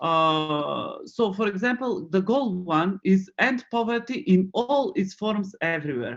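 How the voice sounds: A man speaks in a high, fairly bright voice at a fairly slow pace. His intonation is lively.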